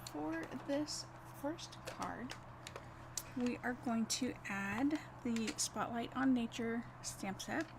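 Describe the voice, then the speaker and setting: Over noticeable background noise, a woman with a fairly high pitch and lively intonation speaks very slowly, with long, frequent pauses. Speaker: card-making instructor. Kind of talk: live craft tutorial. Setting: livestream.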